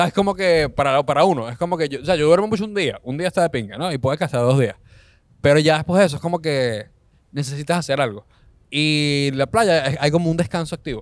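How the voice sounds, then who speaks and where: A man with a Caracas Venezuelan accent talks at a fairly quick pace and a fairly high pitch with ordinary pitch variation. The recording is very clean, with a silent background. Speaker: comedian. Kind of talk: casual chat.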